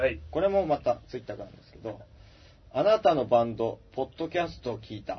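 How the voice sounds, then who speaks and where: Big swings in loudness mark this voice, which moves at a very fast pace. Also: man. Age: 30s. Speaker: band guitarist and podcast host. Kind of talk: casual chat. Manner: halting, many fillers.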